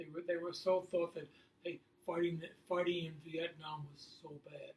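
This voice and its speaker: With an American accent, a man speaks at a moderate pace in a high pitch. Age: 80s+. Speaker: interviewed grandparent. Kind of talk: interview. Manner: halting.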